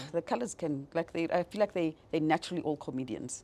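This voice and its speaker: Fairly quick female speech over noticeable background noise. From South Africa, Johannesburg area. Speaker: business executive. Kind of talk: interview, personal life story. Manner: hesitant, many fillers.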